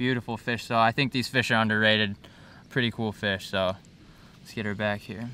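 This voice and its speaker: A man talks at a moderate pace with monotone, flat intonation. Noticeable background noise is heard, and the sound is dry with no echo. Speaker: angler vlogger. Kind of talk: casual vlog chat. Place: waterside.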